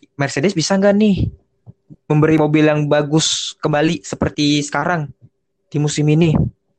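An unremarkable speaking voice holds a very even loudness and fairly even intonation at a moderate pace. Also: man, fairly high pitch for a man. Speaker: motorsport podcast host. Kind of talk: casual chat.

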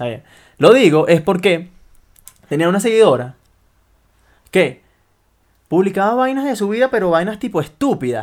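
Very wide pitch swings at a moderate pace, broken by long, frequent pauses. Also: man, high pitch for a man, very clean recording, silent background. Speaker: podcast co-host. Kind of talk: casual chat.

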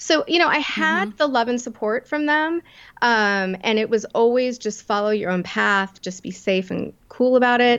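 In an ordinary speaking voice, a woman talks at a moderate pace with a fairly high pitch and lively intonation. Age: 50s. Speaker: entrepreneur and confidence coach. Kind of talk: interview.

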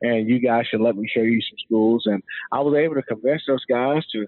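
Speaking at a fairly quick pace with an American accent, a man uses an ordinary speaking voice at a medium pitch with fairly even intonation. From US Mid-Atlantic, Montgomery County, Maryland. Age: 40s. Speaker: former NFL player and company CEO. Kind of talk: interview. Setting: studio.

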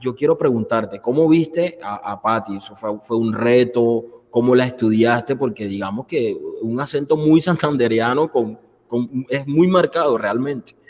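At a fairly slow pace, a man talks in a normal speaking voice, medium in pitch with ordinary pitch variation. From Colombian Caribbean coast. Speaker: show host. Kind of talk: interview. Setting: studio.

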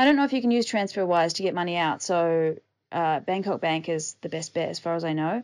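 In a New Zealand accent, a woman talks at a fairly quick pace. Her pitch makes very wide swings. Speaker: podcast host, digital nomad. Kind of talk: casual solo podcast monologue.

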